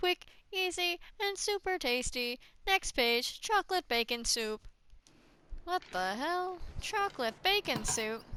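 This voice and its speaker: A woman speaks in a raised, projected voice at an extremely high pitch, bright and sharp in tone. Her pace is very slow, her pitch swings are very wide, and the sound is dry and close with no echo. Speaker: gaming streamer. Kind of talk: casual gameplay commentary.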